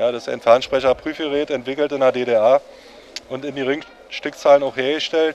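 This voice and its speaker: Speaking at a moderate pace with monotone, flat intonation, a man swings widely in loudness over light background noise. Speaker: telephone collector. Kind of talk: explaining a hobby in interview. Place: hall. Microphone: handheld.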